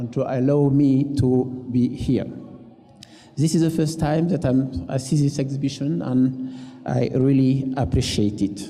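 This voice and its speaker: With a French accent, a man talks fairly slowly at a medium pitch and with ordinary pitch variation. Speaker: museum director. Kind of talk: panel presentation. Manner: halting.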